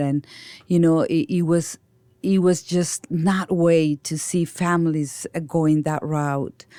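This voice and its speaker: The speech comes at a fairly slow pace with a Mexican accent and fairly even intonation. The recording is very clean with a silent background and a dry, close sound with no echo. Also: woman. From Mexico. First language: Spanish. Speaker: nonprofit founder and director. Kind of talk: interview.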